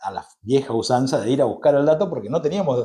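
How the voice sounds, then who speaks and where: A man speaks in a dark, mellow tone, a little breathy, with ordinary pitch variation. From Argentina, Misiones (Posadas and Andresito). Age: 40s. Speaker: journalist. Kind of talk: interview conversation. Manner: hesitant, frequent fillers.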